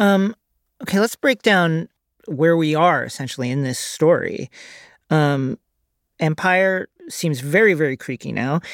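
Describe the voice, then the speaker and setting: Long, frequent pauses at a fairly slow pace. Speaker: podcast host. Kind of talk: casual chat.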